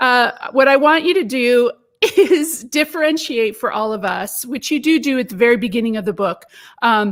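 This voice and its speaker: An American-accented woman speaks at a moderate pace in a high, animated voice with lively intonation. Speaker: interviewer. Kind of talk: book launch interview. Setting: live stream.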